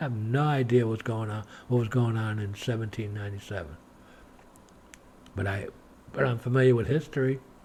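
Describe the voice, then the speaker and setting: Speaking at a fairly quick pace with an American accent, a man has a medium pitch, ordinary pitch variation and a somewhat breathy voice. His speech is broken by long, frequent pauses. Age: 60s. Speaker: religious video blogger. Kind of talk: monologue to camera. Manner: animated.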